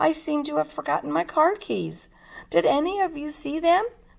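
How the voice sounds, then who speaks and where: A woman speaks in a put-on character voice, pitched high. Her pace is moderate. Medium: read story. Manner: scatterbrained.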